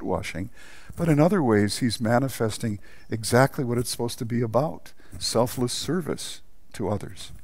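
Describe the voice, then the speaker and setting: Lively intonation marks a man speaking at a moderate pace. Room echo is audible. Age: 70s. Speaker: priest and liturgy professor. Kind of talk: lecture. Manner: halting, with false starts.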